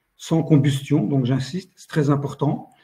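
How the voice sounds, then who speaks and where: In a dark, mellow tone, a man speaks somewhat breathily at a fairly slow pace, with fairly high pitch and fairly even intonation. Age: 60s. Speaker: company founder. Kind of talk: business pitch. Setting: online live meeting. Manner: hesitant, many fillers.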